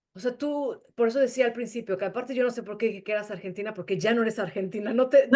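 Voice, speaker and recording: The speech races along at a very fast pace. There are hardly any pauses. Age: 50s. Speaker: interviewer. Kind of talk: interview. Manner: halting.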